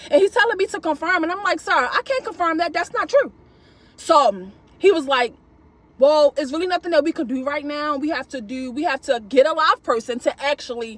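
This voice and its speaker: Loud and animated in tone, the voice runs at a fairly quick pace. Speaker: gig delivery shopper vlogger. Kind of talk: casual vlog monologue.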